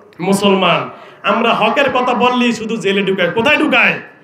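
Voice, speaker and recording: Amid light background noise and audible room echo, a man speaks at an extremely high pitch with ordinary pitch variation. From Bangladesh. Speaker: Islamic preacher. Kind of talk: sermon. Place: stage. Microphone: handheld.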